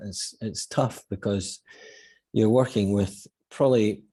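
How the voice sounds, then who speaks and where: A man speaks at a fairly low pitch in a dark, mellow tone, with a Scottish accent. The recording is very clean, with a silent background. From Scotland. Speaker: football manager. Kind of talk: interview.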